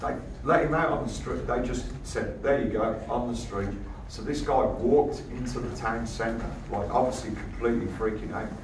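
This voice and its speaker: Amid noticeable background noise and audible room echo, a man speaks at a moderate pace. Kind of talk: informal talk to an audience. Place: hall. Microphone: camera far.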